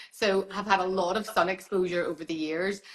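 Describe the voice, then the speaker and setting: Over noticeable background noise, a woman with an Irish accent talks at a fairly quick pace and a medium pitch. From Ireland. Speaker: dermatologist. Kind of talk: casual interview chat on live stream. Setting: Instagram live video call.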